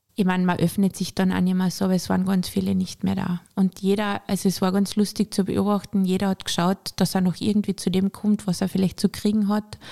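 A woman speaks at a fairly quick pace in a medium pitch, her tone dark and mellow, with hardly any pauses. Her intonation is monotone and flat, her loudness very even, and the sound dry and close with no echo. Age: 50s. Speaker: entrepreneur and shop owner. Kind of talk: personal testimony in a podcast interview.

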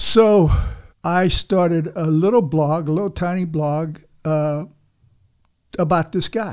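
Very slow delivery with fairly even intonation and long, frequent pauses. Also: man, high pitch for a man. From Cuba (Havana). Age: 70s. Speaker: local journalist and blogger. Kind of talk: casual interview. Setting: studio.

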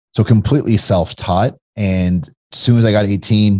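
A man speaks with an American accent over a quiet background. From Kentucky, US. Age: 40s. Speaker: entrepreneur. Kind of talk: casual chat.

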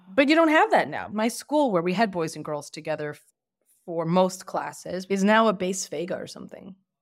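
Talking in a New Jersey accent, a woman makes very wide pitch swings and big swings in loudness. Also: medium pitch for a woman, fairly quick pace. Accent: American (New Jersey). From Lakewood, New Jersey, US. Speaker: women's rights advocate. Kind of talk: interview.

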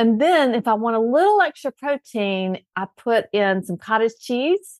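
Against a quiet background, a woman with a Southern US accent speaks at a fairly slow pace in a warm tone, with fairly high pitch, lively intonation, and a dry, close sound with no echo. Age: 50s. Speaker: health coach. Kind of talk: casual chat.

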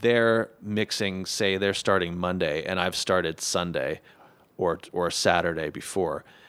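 Speaking with an American accent, a man with a very deep, low pitch talks at a fairly slow pace with fairly even intonation. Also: very clean recording, silent background. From Los Angeles, US. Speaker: musician and score mixer. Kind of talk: casual chat. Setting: studio.

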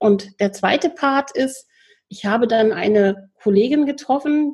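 A woman speaks with a dark, mellow tone that is somewhat breathy. Her pace is moderate. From Lower Rhine region, Germany. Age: 40s. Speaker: volunteer hospital chaplain trainee and psycho-oncology counsellor. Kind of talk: interview.

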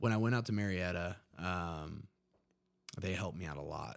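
At a moderate pace, a man with an American accent speaks with a very deep, low pitch. His pitch variation is ordinary. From West Virginia, Huntington. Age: 30s. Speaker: army veteran in addiction recovery. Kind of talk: casual interview, personal testimony.

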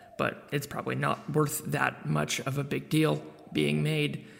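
This is a man speaking. He has an American accent. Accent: American-ish New Zealand. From New Zealand. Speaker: podcast network publisher. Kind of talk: podcast intro. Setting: echoey empty room.

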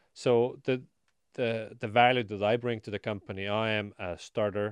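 A man with an Estonian accent speaks against a quiet background. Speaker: marketing company founder. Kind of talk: interview. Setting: studio.

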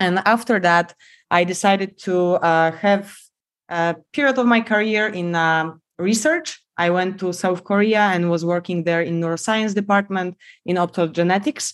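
A woman talks at a moderate pace, her medium pitch moving with ordinary variation. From Poland. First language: Polish. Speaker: biomedical engineer. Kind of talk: podcast interview.

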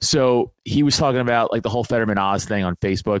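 At a fairly quick pace, an unremarkable speaking voice with an American accent and ordinary pitch variation comes through in a very clean, dry, close recording with a silent background and no echo. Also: man. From New York, Staten Island. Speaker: podcast guest, social media personality. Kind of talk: casual chat.

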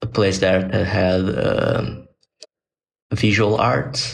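Here a man speaks with a Portuguese accent and ordinary pitch variation. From Brazil. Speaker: designer and animator. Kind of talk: casual interview. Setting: video call. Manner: halting, with repetitions.

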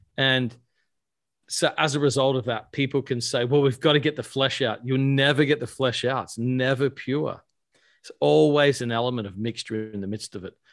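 A man with an Australian accent speaks at a medium pitch with ordinary pitch variation, on a very clean recording with a silent background. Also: moderate pace. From Australia (Adelaide). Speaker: pastor and author. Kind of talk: casual interview chat.

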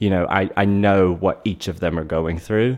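Against a quiet background, a man speaks at a moderate pace with an American accent. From North Carolina. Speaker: retail executive. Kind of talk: interview conversation. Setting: in person, Airstream trailer.

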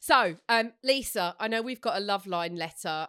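In an Essex accent, a woman speaks at a fairly slow pace with ordinary pitch variation. The very clean recording has a silent background and a dry, close sound with no echo. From Essex, England. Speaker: podcast co-host. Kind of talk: casual chat.

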